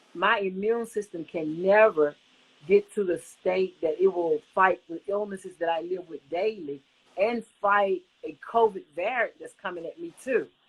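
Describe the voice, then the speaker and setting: At a fairly slow pace, a woman with an unremarkable speaking voice talks at a medium pitch with ordinary pitch variation and big swings in loudness. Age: 60s. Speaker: covid survivor sharing her story. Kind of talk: interview testimony.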